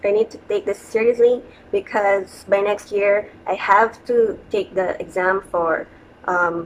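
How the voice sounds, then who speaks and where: A woman speaks with a Filipino accent. Her intonation stays fairly even. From Philippines, Quezon City, Metro Manila. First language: Tagalog. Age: 30s. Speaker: vlogger. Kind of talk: casual vlog monologue. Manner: hesitant, with fillers.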